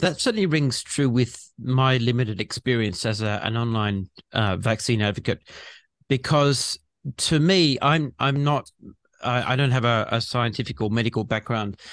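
In an Australian accent, a man at a medium pitch speaks at a moderate pace with very even loudness, in a very clean recording with a silent background and a dry, close sound with no echo. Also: ordinary pitch variation. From Western Australia. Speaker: podcast host and vaccine advocate. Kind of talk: interview.

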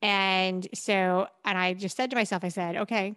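A woman with medium pitch and fairly even intonation speaks in an unremarkable speaking voice. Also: quiet background. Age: 40s. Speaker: endurance athlete and podcaster. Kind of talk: casual chat.

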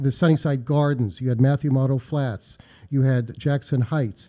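A man with an American accent uses a normal speaking voice at medium pitch and a moderate pace against a quiet background. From US, Pittsburgh. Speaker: local historian. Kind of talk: radio interview.

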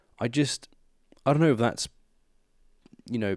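Ordinary pitch variation from a man, in a dry, close sound with no echo on a very clean recording with a silent background. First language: not English. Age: 20s. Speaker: podcast host. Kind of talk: casual chat.

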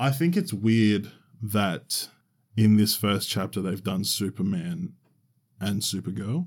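A man with an Australian accent speaks very slowly, with long, frequent pauses. His fairly low voice carries lively intonation. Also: very clean recording, silent background. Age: 20s. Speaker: podcast co-host. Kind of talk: casual chat. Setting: studio.

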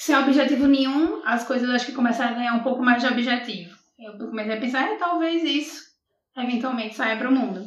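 A woman talks very fast in a Rio Grande do Norte accent, her pitch high with ordinary variation. Audible room echo fills the recording. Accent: Brazilian northeastern (potiguar). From Brazil, Natal (Rio Grande do Norte). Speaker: poet. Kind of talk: casual interview.

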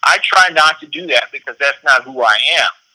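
A man with a South Carolina accent and fairly high pitch at a moderate pace, dry and close with no echo. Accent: Southern US (South Carolina). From South Carolina, US South. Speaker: political candidate. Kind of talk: interview.

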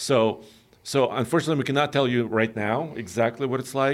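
This man talks at a fairly quick pace with ordinary pitch variation, recorded very cleanly against a silent background. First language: not English. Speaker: automotive podcast co-host. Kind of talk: casual chat.

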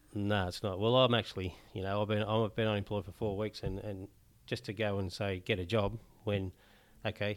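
A man with an Australian accent, fairly low in pitch, flat and monotone, on a very clean recording with a silent background. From Newcastle, Australia. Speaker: homeless charity president. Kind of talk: casual interview chat. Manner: halting.

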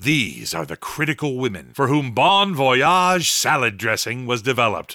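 A man speaks at a moderate pace with very wide pitch swings and vocal fry. His tone is bright and sharp, and also solemn. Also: medium pitch for a man, very clean recording, silent background. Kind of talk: dramatic radio narration, scripted and ominous. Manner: solemn, measured, melodramatic narrator.

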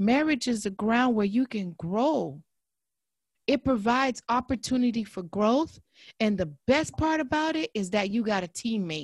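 Her voice sits fairly high and comes across somewhat breathy, with lively intonation. The woman is recorded very cleanly against a silent background. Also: moderate pace. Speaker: therapist. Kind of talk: casual interview chat.

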